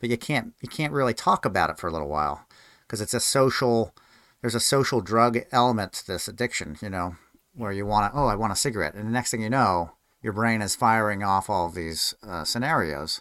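An ordinary speaking voice at a fairly quick pace. The recording is very clean, with a silent background. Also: man, fairly low pitch for a man, lively intonation. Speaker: podcast host. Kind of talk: casual interview.

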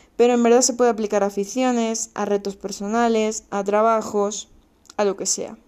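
A woman speaks fairly quickly in a dark, mellow tone, her fairly high pitch held in fairly even intonation. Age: 20s. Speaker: podcast host. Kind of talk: solo podcast monologue. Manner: casual, chatty.

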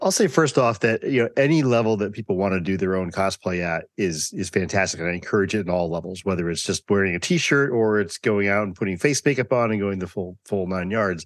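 A man talks at a fairly quick pace in a plain, everyday voice. His pitch is fairly low, with ordinary variation. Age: 50s. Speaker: cosplayer and podcast host. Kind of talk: interview.

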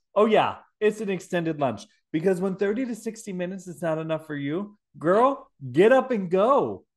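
An animated man with a Wisconsin accent speaks at a high pitch and moderate pace, with lively intonation and big swings in loudness, against a quiet background. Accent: Wisconsin Midwestern. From Milwaukee, Wisconsin. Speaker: podcast host. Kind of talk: casual comedic podcast chat. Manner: animated, joking.

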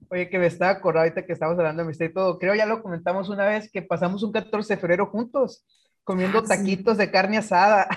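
A man races along at a very fast pace in a high voice with fairly even intonation. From Guaymas, Sonora, Mexico. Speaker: teacher podcast co-host. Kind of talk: casual chat.

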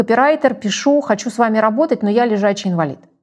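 A woman talks at a very fast pace. Her fairly high pitch rises and falls with lively intonation. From Russia. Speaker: company executive. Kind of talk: interview.

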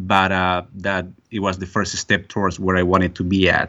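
A man with a Spanish accent and a very deep, low pitch. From Bolivia. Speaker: real estate investor. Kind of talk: interview. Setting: phone call. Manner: hesitant, many fillers.

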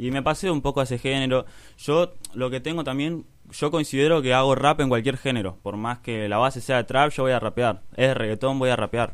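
With an Argentine accent, a man talks at a fairly quick pace, his medium pitch moving with ordinary variation. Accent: Argentine Spanish (Rioplatense). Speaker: rapper. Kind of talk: interview.

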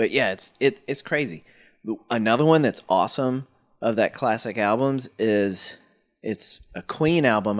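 Heard on a very clean recording with a silent background, a plain, everyday voice carries lively intonation. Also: man. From North Carolina (Stokes County). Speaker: podcast host. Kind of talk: casual chat. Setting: in a garage.

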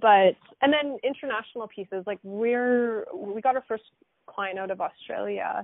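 A woman's fairly high, normal speaking voice with a Canadian accent, at a moderate pace and with ordinary pitch variation. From Alberta, Canada. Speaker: podcast host, recruitment company CEO. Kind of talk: casual interview. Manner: laughs often.

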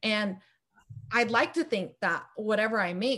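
Speaking at a moderate pace, a woman with an American accent sounds somewhat breathy. Her pitch is fairly high, with ordinary variation. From Los Angeles, US. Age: 20s. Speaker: filmmaker and video editor. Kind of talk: casual interview.

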